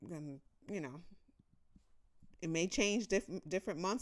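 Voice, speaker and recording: Speaking with an American accent, a woman uses a fairly low pitch and ordinary pitch variation. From United States. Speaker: personal finance youtuber. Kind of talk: tutorial. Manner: casual, conversational.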